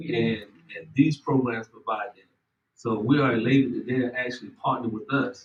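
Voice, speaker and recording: A man with a Southern US accent talks at a medium pitch and moderate pace with fairly even intonation. His voice is somewhat breathy, with big swings in loudness. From US South, South Carolina (Orangeburg). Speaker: extension program administrator. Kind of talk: ceremony speech.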